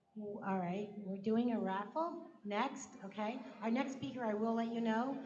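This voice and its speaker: A woman with a fairly high voice talks at a moderate pace with fairly even intonation, over noticeable background noise and audible room echo. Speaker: event host. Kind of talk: event announcements. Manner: loud.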